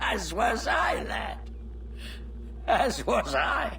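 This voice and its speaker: A man speaks in a put-on character voice. Clear background noise can be heard. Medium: video game. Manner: scornful, wry.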